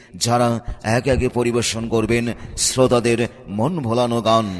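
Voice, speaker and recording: A man speaks at a medium pitch with fairly even intonation. Noticeable background noise can be heard. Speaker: voice-over artist. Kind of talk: street promotion advertisement read.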